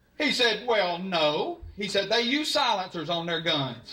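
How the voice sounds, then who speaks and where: This man talks in a raised, projected voice with a Southern US accent and very wide pitch swings. Background noise is noticeable. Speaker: stand-up comedian. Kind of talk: live stand-up comedy set. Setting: live audience.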